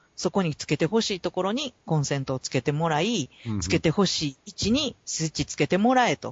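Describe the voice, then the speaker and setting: The speech moves at a fairly quick pace. There are hardly any pauses. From Kansai, Japan. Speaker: podcast co-host. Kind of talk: casual chat.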